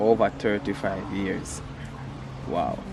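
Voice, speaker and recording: Noticeable background noise runs beneath a man who talks at a fairly slow pace. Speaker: charcoal portrait artist. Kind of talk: casual talk to camera while drawing.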